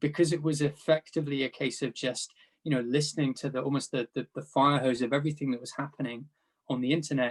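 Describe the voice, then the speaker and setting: In a British accent, a man with a fairly high voice talks very fast with monotone, flat intonation. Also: dry, close sound with no echo. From UK. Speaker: panelist, data product executive. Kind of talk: panel discussion.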